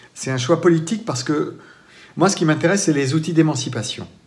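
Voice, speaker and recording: A man at a moderate pace, fairly high in pitch, with lively intonation and audible room echo. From France, Vendée. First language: Poitevin-Saintongeais (speaking French). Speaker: storyteller. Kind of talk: interview. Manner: hesitant, with repetitions.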